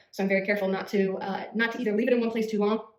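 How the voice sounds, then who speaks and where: A woman of medium pitch speaks in a flat monotone, with noticeable background noise behind her. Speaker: beauty vlogger. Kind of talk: tutorial. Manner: fast; casual, hesitant with fillers.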